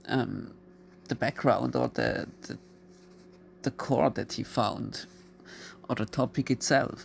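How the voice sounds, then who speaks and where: Speaking very slowly with long, frequent pauses, the voice carries a non-native accent. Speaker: YouTuber. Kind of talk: video monologue. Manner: halting.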